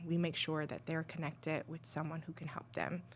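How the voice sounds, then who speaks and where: The pitch is very deep and low. A woman is the one talking. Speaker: abuse survivor sharing life story. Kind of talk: podcast interview, personal testimony. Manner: hesitant, many fillers.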